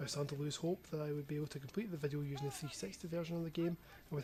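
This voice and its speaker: A man with a Scottish accent at a very fast pace, fairly high in pitch, with fairly even intonation. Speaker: gaming youtuber. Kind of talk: scripted narration.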